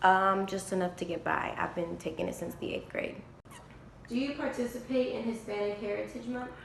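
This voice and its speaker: At a fairly quick pace and medium pitch, a woman speaks with ordinary pitch variation, with audible room echo and noticeable background noise. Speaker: college student. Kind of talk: interview.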